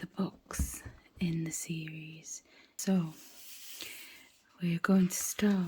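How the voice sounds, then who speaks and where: Whispering and somewhat breathy, a woman speaks at a very slow pace with long, frequent pauses. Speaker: audiobook reader. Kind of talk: bedtime story reading. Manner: whispered.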